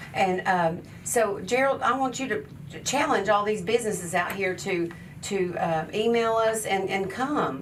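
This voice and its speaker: A moderate pace with audible room echo. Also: woman, medium pitch for a woman, ordinary pitch variation. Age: 60s. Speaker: charity founder and hairstylist. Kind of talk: radio talk show interview. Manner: animated.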